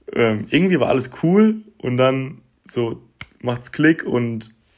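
The pace here is fairly slow. It is a normal speaking voice. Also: man. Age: 20s. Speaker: podcaster. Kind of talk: personal monologue. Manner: casual, colloquial.

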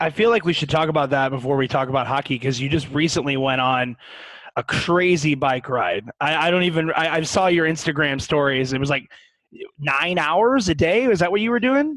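A man with an American accent speaks at a fairly quick pace with lively intonation in an ordinary speaking voice. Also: fairly high pitch for a man. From US Midwest, St. Louis. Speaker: hockey podcast host. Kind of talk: casual chat.

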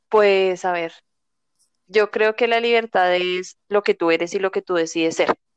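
At a fairly slow pace, a woman speaks at medium pitch in a monotone, flat way, with a quiet background and a dry, close sound with no echo. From Colombia, near Bogotá. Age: 20s. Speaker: flight attendant. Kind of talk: casual chat.

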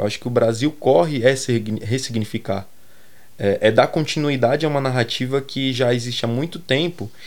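At a moderate pace, a man of medium pitch with ordinary pitch variation talks in an ordinary speaking voice. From Brazil, Grajaú, São Paulo south zone. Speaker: fashion and aesthetics researcher. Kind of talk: interview.

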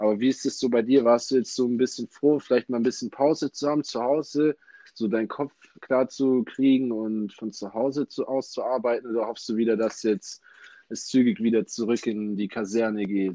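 At a moderate pace, a man's medium-pitched voice carries a dark, mellow tone and fairly even intonation, recorded dry and close with no echo. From Ulm, southern Germany. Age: 20s. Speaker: university student and podcast host. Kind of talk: casual interview podcast.

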